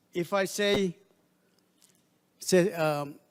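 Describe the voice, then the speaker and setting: With a Palauan accent, a man speaks in a high-pitched voice. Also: very clean recording, silent background. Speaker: diplomat. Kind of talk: formal speech. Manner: formal.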